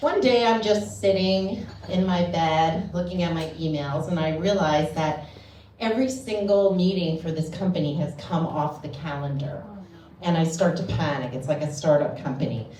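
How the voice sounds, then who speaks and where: Over noticeable background noise, a woman with an American accent speaks at a moderate pace with a fairly low pitch and lively intonation. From United States. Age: middle-aged. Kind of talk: stand-up comedy storytelling. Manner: casual, chatty.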